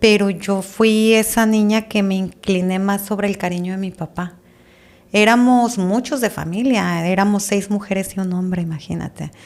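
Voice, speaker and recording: A woman speaks at a moderate pace, her pitch medium. Hers is an ordinary speaking voice, with fairly even intonation. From Tijuana, northwestern Mexico. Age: 40s. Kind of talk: testimony.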